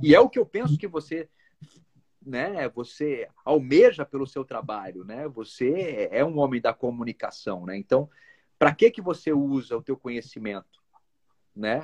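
A man in a normal speaking voice at a fairly high pitch, with lively intonation, big swings in loudness and a fairly slow pace, in a dry, close sound with no echo. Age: 40s. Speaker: actor and musician. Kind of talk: casual chat.

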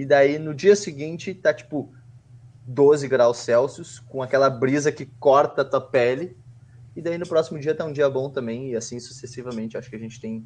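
A man with an ordinary speaking voice talks in a medium pitch at a moderate pace, with ordinary pitch variation and big swings in loudness. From southern Brazil, Porto Alegre. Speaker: podcast co-host. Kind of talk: casual chat.

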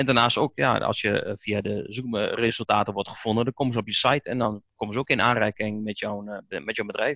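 In a normal speaking voice, a man talks at a medium pitch with fairly even intonation, moving at a fairly quick pace with hardly any pauses. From Netherlands, Oldenzaal, Overijssel. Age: 30s. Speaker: Google Ads specialist and trainer. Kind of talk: podcast interview.

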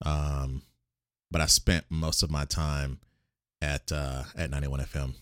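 A man with an American accent speaks in a very deep, low pitch and fairly even intonation. The recording is very clean with a silent background and a dry, close sound with no echo. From military childhood, North Carolina, Germany, Mississippi Gulf Coast. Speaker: author and radio DJ. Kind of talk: casual chat.

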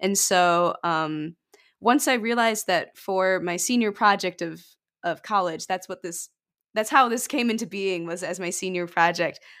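In a very clean recording with a silent background, a woman with an American accent talks at a moderate pace and medium pitch with ordinary pitch variation, in an ordinary speaking voice. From Michigan, US. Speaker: musician. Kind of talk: casual interview chat.

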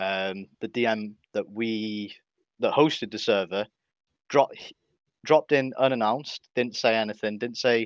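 The man talks at a moderate pace with ordinary pitch variation. The sound is dry and close with no echo, over a quiet background. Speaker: server founder. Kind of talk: casual chat. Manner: halting, filler-heavy.

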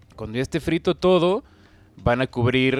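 A man with a plain, everyday voice and medium pitch speaks at a moderate pace with lively intonation, in a very clean recording with a silent background and a dry, close sound with no echo. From Mexico. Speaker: podcast co-host. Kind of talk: casual chat.

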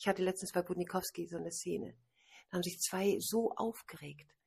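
A woman's medium-pitched voice with vocal fry, at a fairly quick pace. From Hamburg, northern Germany. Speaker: author and wedding and funeral speaker. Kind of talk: casual interview. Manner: animated, laughing often.

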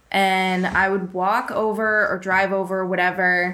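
A woman with an American accent speaks fairly slowly at a medium pitch, her tone bright and sharp. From Worcester, Massachusetts. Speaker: heart defect patient advocate. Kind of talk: interview.

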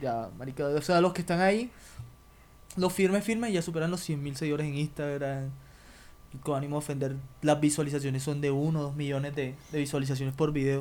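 A man speaks fairly quickly at a fairly high pitch, with ordinary pitch variation and long, frequent pauses. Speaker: podcast host. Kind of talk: casual chat.

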